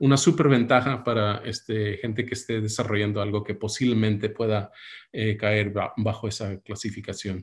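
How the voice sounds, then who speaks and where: A man talks at a moderate pace in a fairly low, somewhat breathy voice. His intonation stays fairly even against a quiet background. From United States, Mexican family. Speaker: medical device entrepreneur and investor. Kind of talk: webinar talk. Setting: video call. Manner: hesitant, many fillers. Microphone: webcam.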